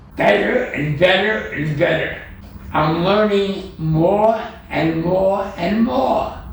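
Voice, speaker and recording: A man speaks very slowly in a high voice with ordinary pitch variation. Audible room echo and noticeable background noise are present. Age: 80s+. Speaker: digital artist. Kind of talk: interview.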